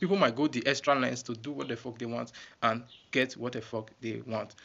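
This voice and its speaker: A medium-pitched man, very fast, with vocal fry and fairly even intonation. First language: not English. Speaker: YouTuber. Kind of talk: casual vlog talk. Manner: halting.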